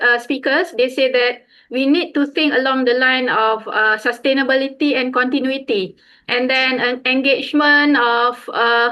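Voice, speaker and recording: A woman's high-pitched, raised and projected voice with a bright, sharp tone and fairly even intonation. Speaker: conference session chair. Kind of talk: panel discussion moderation. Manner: hesitant, many fillers.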